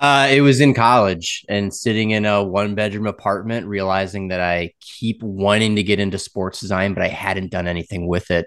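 Against a quiet background, a man with a fairly low pitch uses a normal speaking voice with an American accent, speaking at a moderate pace with fairly even intonation and hardly any pauses. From US Midwest, Wisconsin. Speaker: logo designer. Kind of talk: interview.

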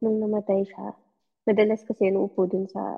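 A woman speaks at a moderate pace with medium pitch. She has an unremarkable speaking voice. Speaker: podcast listener sharing paranormal experiences. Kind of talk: casual storytelling. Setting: online call.

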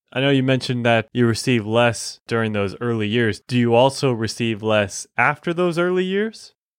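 Against a quiet background, a man talks in a plain, everyday voice at a moderate pace with hardly any pauses, his medium pitch showing ordinary variation. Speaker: co-host and producer. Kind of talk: podcast intro and conversational questions.

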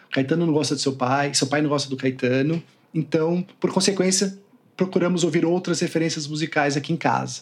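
Speech comes at a moderate pace, with ordinary pitch variation. It is a normal speaking voice. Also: man. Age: 40s. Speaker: son of a late music critic. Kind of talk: interview.

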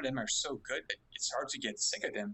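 This is a man's voice. He speaks with a French Canadian accent. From Quebec, Montreal. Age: 20s. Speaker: web developer, subreddit moderator. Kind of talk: casual chat. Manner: halting.

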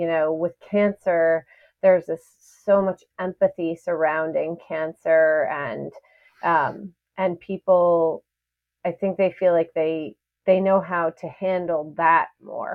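With an American accent, a woman talks at a very slow pace and a fairly low pitch. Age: 30s. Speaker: podcast host. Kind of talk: casual interview. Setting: online call. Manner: animated.

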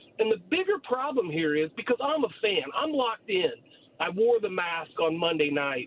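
The speaker has an American accent and talks at a moderate pace with very wide pitch swings. Noticeable background noise is present. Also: man, high pitch for a man. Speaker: caller, sports fan. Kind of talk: radio call-in. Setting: phone call. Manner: animated.

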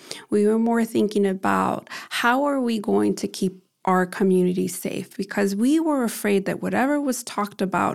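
This is an ordinary speaking voice from a woman with an American accent, medium pitch and a moderate pace. The recording is very clean, with a silent background. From US Midwest, Chicago. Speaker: activist and event organizer. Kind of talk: interview.

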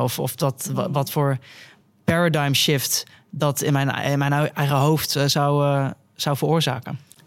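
A man's fairly high, monotone, flat voice at a fairly slow pace, on a very clean recording with a silent background. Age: 20s. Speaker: biologist and vegan influencer. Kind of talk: casual interview. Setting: on location at a cafe venue.

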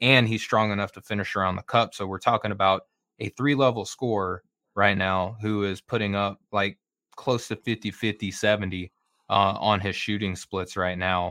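A normal speaking voice, a man talks at a moderate pace in a fairly low pitch with fairly even intonation. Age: 30s. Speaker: basketball writer. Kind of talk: casual chat.

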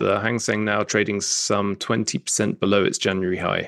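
A man with an unremarkable speaking voice and fairly low pitch talks at a moderate pace. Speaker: investment writer. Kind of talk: market news report.

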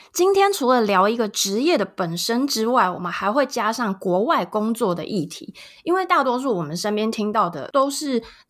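Her pitch swings very widely. The woman's voice is fairly high. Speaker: podcast host. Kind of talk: casual interview chat; scripted intro and outro.

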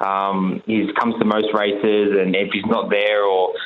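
This man speaks with an Australian accent at a fairly low pitch, and audible room echo surrounds his voice. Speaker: racing car driver. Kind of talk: radio interview. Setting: phone call.

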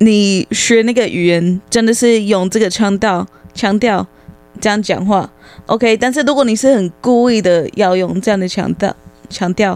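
With an English accent, a woman talks at a fairly slow pace and a medium pitch. Her loudness stays very even, and her pitch variation is ordinary. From United States. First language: English (speaking Chinese). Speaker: English tutor. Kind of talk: casual chat.

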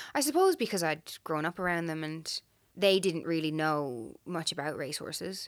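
In an Irish accent, a woman talks at a fairly quick pace. The recording is very clean, with a silent background. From Ireland. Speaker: horse trainer. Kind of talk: casual chat.

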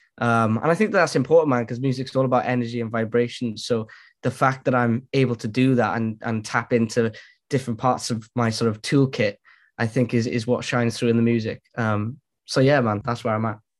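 The speaker has a Welsh accent and talks at a fairly quick pace. Intonation stays fairly even over a quiet background. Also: man, medium pitch for a man. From Wales. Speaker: musician and entrepreneur. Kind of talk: casual chat. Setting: video call.

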